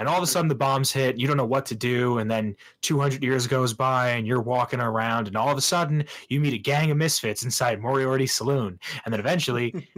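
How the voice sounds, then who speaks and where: At a fairly quick pace, a man talks in a normal speaking voice of medium pitch with ordinary pitch variation. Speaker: podcast host. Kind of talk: casual podcast banter.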